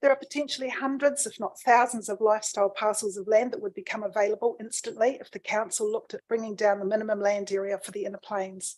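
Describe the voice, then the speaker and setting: A woman's fairly high voice in a New Zealand accent, very fast with hardly any pauses, ordinary pitch variation and big swings in loudness. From New Zealand, Canterbury. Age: 60s. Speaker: submitter at a council planning hearing. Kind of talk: formal submission reading. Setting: council hearing.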